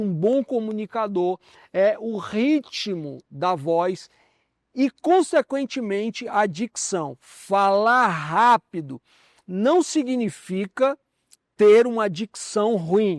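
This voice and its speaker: A man speaks in a high voice. The recording is very clean, dry and close, with a silent background and no echo. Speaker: communication teacher. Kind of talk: lecture. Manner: slow, carefully articulated.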